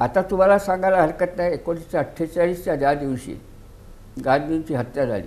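A high male voice with ordinary pitch variation. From India, Vidarbha (Wardha); Vidarbha, India. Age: 90s. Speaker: retired judge. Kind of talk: interview. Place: studio. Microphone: lapel.

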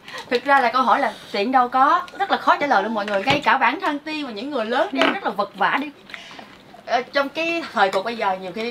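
The voice moves at a moderate pace with very wide pitch swings and big swings in loudness. Noticeable background noise is present. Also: woman. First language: Vietnamese (speaking Korean). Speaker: family vlogger. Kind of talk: casual family vlog talk.

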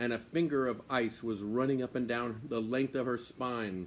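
At a moderate pace, this man delivers his words. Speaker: storyteller. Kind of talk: read-aloud story narration. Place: garden. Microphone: phone near.

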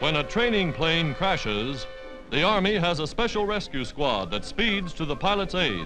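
A man talks at a fairly slow pace, his fairly high voice making very wide pitch swings. Music plays in the background. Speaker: newsreel narrator. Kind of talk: wartime newsreel narration.

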